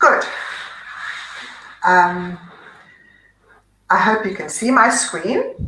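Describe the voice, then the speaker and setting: Speaking at a very slow pace, a woman leaves long, frequent pauses. Her fairly high pitch shows ordinary variation. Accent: South African. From South Africa. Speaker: psychiatrist. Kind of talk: presentation. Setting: online webinar.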